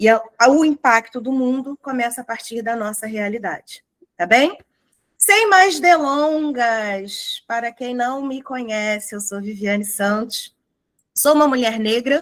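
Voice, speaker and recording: A woman with a high pitch talks at a fairly slow pace, with big swings in loudness. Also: ordinary pitch variation. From Rio de Janeiro, Brazil. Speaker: lecturer on racial awareness. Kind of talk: corporate lecture. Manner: animated.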